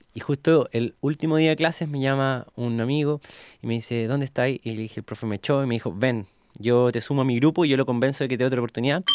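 In a Chilean accent, a man talks very fast at a medium pitch with ordinary pitch variation, the sound dry and close with no echo. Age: 20s. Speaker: entrepreneur. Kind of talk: interview testimony. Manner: casual, colloquial.

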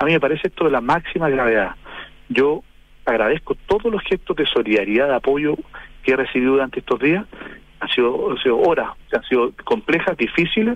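Speaking fairly quickly, a man with a fairly high pitch lets his voice swing very widely. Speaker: politician. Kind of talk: radio interview. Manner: halting.

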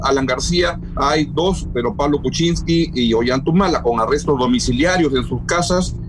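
Noticeable background noise surrounds the recording. A man speaks at a moderate pace. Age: 60s. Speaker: journalist and political analyst. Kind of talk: interview.

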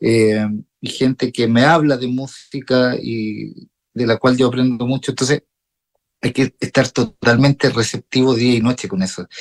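A man at a medium pitch, fairly slow, in a dry, close sound with no echo. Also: fairly even intonation. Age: 40s. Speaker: jazz guitarist and music teacher. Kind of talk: radio interview. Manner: halting, many repetitions.

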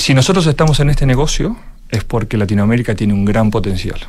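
Noticeable background noise runs under this recording. A man speaks at a medium pitch in an Argentine accent. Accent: clear Argentine. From Argentina. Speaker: venture capital partner. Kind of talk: radio interview. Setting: studio.

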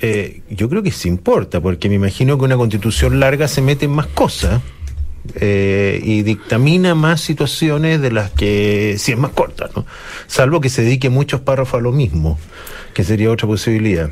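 The speaker goes at a moderate pace with very wide pitch swings and very even loudness. Noticeable background noise runs underneath. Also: man, medium pitch for a man. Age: old. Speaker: radio panelist. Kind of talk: casual chat. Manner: halting.

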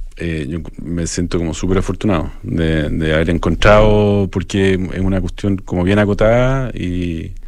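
A man with a very deep, low voice talks with hardly any pauses and ordinary pitch variation. Noticeable background noise and audible room echo surround him. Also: moderate pace. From Chile, Santiago. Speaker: architecture photographer. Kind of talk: radio interview. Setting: radio studio. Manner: halting.

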